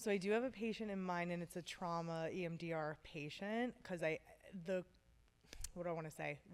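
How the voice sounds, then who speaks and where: A woman talks at a fairly quick pace with ordinary pitch variation and a fairly low pitch. She has a normal speaking voice. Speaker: therapist. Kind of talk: interview.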